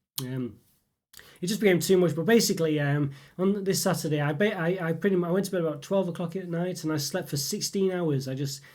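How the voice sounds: A man's fairly high pitch with ordinary pitch variation, a fairly quick pace and a slightly mellow tone.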